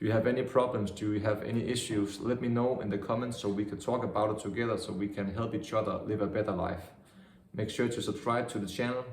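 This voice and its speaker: A man speaks at a very fast pace with a fairly low pitch. There is audible room echo and noticeable background noise. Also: fairly even intonation. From Denmark, Vejle. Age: 20s. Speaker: vlogger. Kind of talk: video outro.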